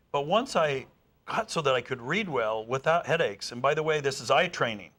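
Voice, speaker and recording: Bright and sharp in tone, a man with a fairly high pitch talks at a fairly quick pace with lively intonation. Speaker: speed-reading educator. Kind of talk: interview. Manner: fast.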